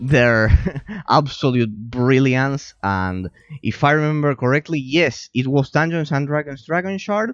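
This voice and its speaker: A man at a fairly high pitch with a non-native accent and lively intonation, fairly slow, in a dry, close sound with no echo, music in the background. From Argentina. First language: Spanish. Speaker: game streamer and analyst. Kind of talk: live stream chat reading and responding to viewer. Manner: halting, many repetitions and fillers.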